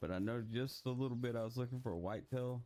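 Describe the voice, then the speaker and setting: A man with an American accent, relaxed in tone, at a fairly quick pace. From Texas. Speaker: gaming YouTuber. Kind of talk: casual gameplay commentary. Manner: relaxed, casual.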